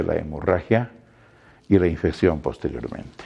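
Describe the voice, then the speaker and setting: The voice has a dark, mellow tone. Behind it, the background stays quiet. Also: man. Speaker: medical instructor. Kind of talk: lecture. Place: classroom. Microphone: lapel.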